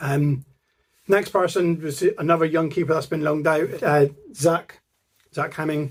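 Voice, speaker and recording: With a Plymouth accent, a man speaks at a fairly high pitch with fairly even intonation. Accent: Janner (Plymouth). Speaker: football fan channel co-founder. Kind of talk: casual vlog monologue.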